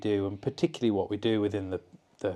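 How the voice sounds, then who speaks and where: Talking at a very fast pace, a man with a Cumbrian accent speaks at medium pitch. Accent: northern English (Cumbrian). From Lake District, England. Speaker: mountaineer and expedition leader. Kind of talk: interview answer.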